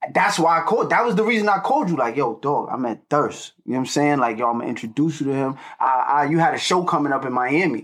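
Here a man with an American accent talks at a very fast pace with hardly any pauses. His pitch is fairly high. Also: lively intonation. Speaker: rapper. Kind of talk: casual chat.

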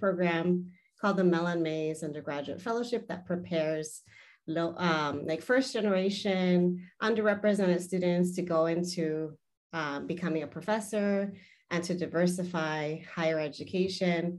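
Using a plain, everyday voice, a woman with an American accent talks at a fairly slow pace in a fairly low pitch with ordinary pitch variation. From US, Southern California (San Fernando Valley). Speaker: academic and author. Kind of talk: interview conversation.

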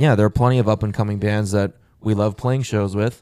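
Speaking at a fairly quick pace, a man uses a fairly low pitch and fairly even intonation. His tone is dark and mellow. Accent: American. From US South. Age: 20s. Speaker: rock band member. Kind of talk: casual chat.

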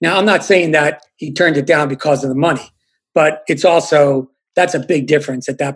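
This man has an unremarkable speaking voice, pitched fairly high, and he keeps a moderate pace and fairly even intonation. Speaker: journalist. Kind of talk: casual chat.

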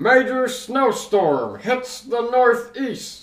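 In a put-on character voice, a man speaks very slowly at an extremely high pitch, with fairly even intonation. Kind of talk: clipped broadcast delivery. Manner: urgent, breaking news.

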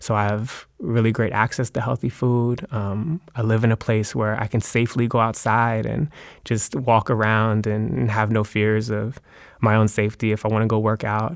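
A man's plain, everyday voice with an American accent, medium pitch and fairly even intonation, at a moderate pace on a very clean recording with a silent background. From US, Maryland. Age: 20s. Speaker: poet and educator. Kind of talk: interview conversation.

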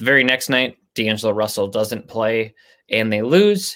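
On a very clean recording with a silent background, a man talks at a moderate pace in a plain, everyday voice. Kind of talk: casual banter, basketball chat. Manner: relaxed, conversational, with filler words.

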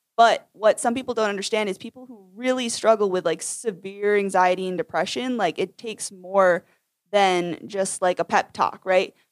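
In an American accent, a woman talks at a moderate pace and medium pitch in a normal speaking voice, with ordinary pitch variation and big swings in loudness, on a very clean, dry, close recording with no echo and a silent background. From Maine, US. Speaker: teacher. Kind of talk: casual chat.

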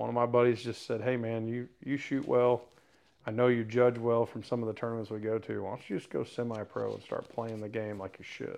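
In an American accent, a man speaks fairly quickly at a medium pitch, his intonation monotone and flat. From Missouri. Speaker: bow hunter and competitive archer. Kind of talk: casual interview.

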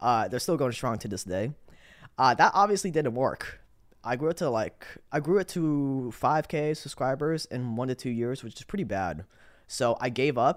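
In a plain, everyday voice, a man talks at a medium pitch and moderate pace with lively intonation, on a very clean recording with a silent background. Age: 20s. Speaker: YouTuber making documentaries. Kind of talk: casual interview.

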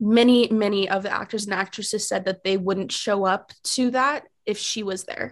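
A woman with an unremarkable speaking voice talks at a medium pitch and a moderate pace. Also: quiet background. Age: 20s. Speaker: guest co-host, college student. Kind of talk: casual chat.

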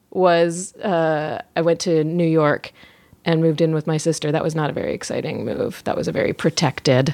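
A woman with an American accent talks at a moderate pace in a normal speaking voice, fairly low in pitch with fairly even intonation. The recording is very clean with a silent background and a dry, close sound with no echo. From Virginia. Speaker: podcast host. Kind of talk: casual chat.

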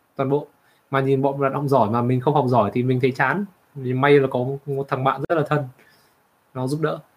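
A man at a medium pitch, talking very fast with fairly even intonation and long, frequent pauses. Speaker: co-host, computer science background. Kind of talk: casual livestream chat. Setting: livestream.

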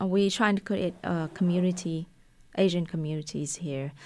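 On a very clean recording with a silent background, a woman with a Vietnamese accent speaks at a medium pitch with ordinary pitch variation. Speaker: restaurant owner. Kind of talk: casual interview. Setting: studio. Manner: talkative.

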